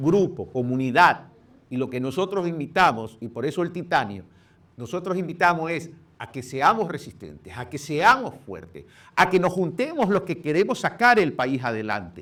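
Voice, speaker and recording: With vocal fry, a man at a fairly high pitch speaks at a moderate pace, making very wide pitch swings and big swings in loudness. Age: 60s. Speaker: presidential candidate. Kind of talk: interview.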